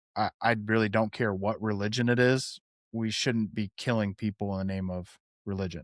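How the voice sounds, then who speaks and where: In a very clean recording with a silent background and a dry, close sound with no echo, a man speaks at a moderate pace. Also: fairly low pitch for a man. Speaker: podcast co-host, former prison worker and police officer. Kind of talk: casual chat. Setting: home, someone in the other room. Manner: loud.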